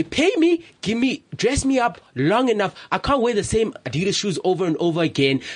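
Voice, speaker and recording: At a moderate pace, a man speaks high for a man, his pitch swinging very widely while his loudness stays very even. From South Africa, Limpopo and Johannesburg. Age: 20s. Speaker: photographer. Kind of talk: casual chat. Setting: radio studio.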